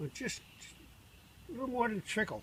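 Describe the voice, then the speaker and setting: At a fairly quick pace, a man delivers his words. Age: 80s+. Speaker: hobbyist home distiller. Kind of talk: tutorial. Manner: soft-spoken.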